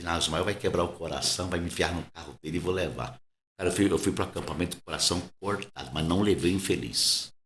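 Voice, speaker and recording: Vocal fry from a man, with audible room echo. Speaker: pastor. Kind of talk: casual interview conversation. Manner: soft-spoken, quiet.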